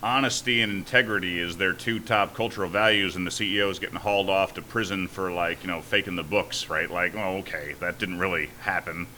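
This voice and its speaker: Noticeable background noise sits behind a man talking at a fairly quick pace. His pitch is fairly low and his intonation fairly even. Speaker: startup founder and CEO. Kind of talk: podcast interview. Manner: halting.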